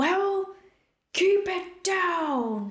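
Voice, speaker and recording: A put-on character voice at an extremely high pitch, with slight echo. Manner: gruff and commanding.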